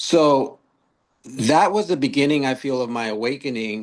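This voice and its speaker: The voice belongs to a man. Behind him there is quiet. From US West Coast, Long Beach, California. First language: Spanish. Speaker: author and youth mentor. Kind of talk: podcast interview.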